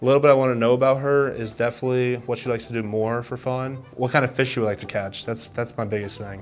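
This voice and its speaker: A man talks very fast, with hardly any pauses, in a flat monotone. Music plays in the background. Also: medium pitch for a man. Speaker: blind date contestant. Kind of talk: casual chat.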